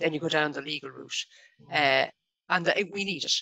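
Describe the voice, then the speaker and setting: A woman with a Dublin accent speaks at a fairly quick pace in a fairly low pitch, her bright, sharp tone roughened by vocal fry over a quiet background. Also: dry sound with no echo. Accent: Dublin Irish. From Ireland, Dublin. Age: 50s. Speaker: local government staff network founder; guest. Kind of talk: radio interview. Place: home room. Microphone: video call.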